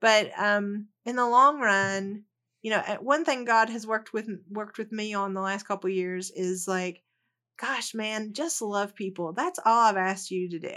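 In a Southern US accent, a woman with a bright, sharp tone speaks at a moderate pace on a very clean recording with a silent background. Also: ordinary pitch variation. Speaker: educator and researcher, author. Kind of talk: casual interview chat. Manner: hesitant, many fillers.

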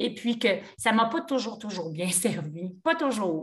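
Talking at a very slow pace, a woman uses lively intonation in a fairly high voice. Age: 60s. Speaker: yoga teacher. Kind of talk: casual chat.

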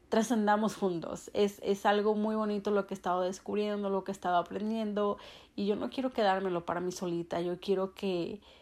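A woman speaks with fairly even intonation. Her tone is dark and mellow. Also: very clean recording, silent background. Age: 30s. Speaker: spiritual podcaster. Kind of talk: casual monologue.

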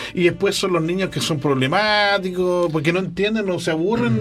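Talking at a fairly quick pace with ordinary pitch variation, a man is heard amid audible room echo and noticeable background noise. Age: 50s. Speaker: radio co-host. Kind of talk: casual chat interview. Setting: radio studio with streaming.

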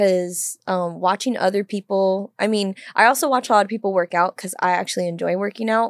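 A woman's normal speaking voice, medium in pitch, at a fairly quick pace with fairly even intonation, dry and close with no echo, in a very clean recording against a silent background. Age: 20s. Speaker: podcast co-host, crisis center worker. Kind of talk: casual chat. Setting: studio.

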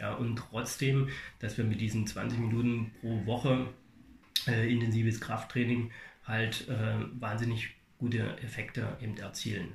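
At a fairly slow pace and a medium pitch, a man speaks in a monotone, flat way with long, frequent pauses and audible room echo. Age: 40s. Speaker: fitness studio manager. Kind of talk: interview. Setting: fitness studio. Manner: halting, many fillers.

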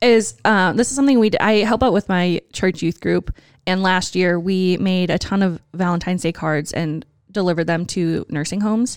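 In a plain, everyday voice, a woman with an American accent speaks at a moderate pace and medium pitch with ordinary pitch variation, the sound dry and close with no echo. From Wisconsin. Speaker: podcast co-host. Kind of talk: casual chat.

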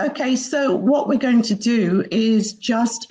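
A woman's somewhat breathy voice at a very slow pace, with lively intonation. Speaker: co-host of online talk series.

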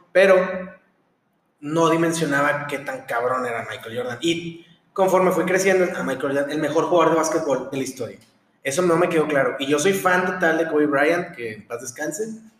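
A man speaks at a moderate pace and a fairly high pitch, with ordinary pitch variation and audible room echo. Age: 20s. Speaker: podcast host, medical student. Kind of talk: casual chat.

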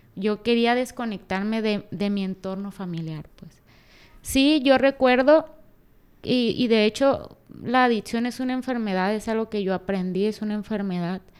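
With ordinary pitch variation, a normal speaking voice proceeds at a moderate speed. There are big swings in how loud it gets. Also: woman, fairly high pitch for a woman. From Mexico, Culiacán, Sinaloa. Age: 20s. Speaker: former Olympic taekwondo athlete. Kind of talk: interview. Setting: office.

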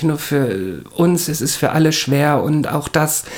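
Speech moves at a very slow pace against noticeable background noise. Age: 40s. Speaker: podcast co-host and bar worker. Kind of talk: casual chat.

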